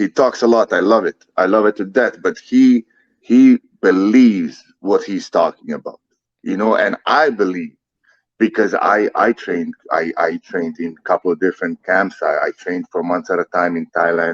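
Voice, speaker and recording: At a moderate pace, a man with a non-native accent speaks with a dry, close sound and no echo. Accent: foreign accent, noticeable. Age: 30s. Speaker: MMA fighter. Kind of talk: casual interview. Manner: repetitive, halting.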